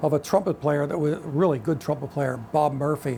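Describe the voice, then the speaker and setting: Over noticeable background noise, a man with a Pennsylvania accent speaks at a fairly quick pace and a fairly high pitch. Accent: US Mid-Atlantic (Pennsylvania). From Pennsylvania, Reading area. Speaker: jazz saxophonist and club owner. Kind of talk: life history interview. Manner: halting, many repetitions.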